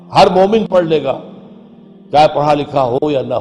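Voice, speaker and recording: A man speaking with music in the background. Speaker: Islamic religious scholar. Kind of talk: religious sermon.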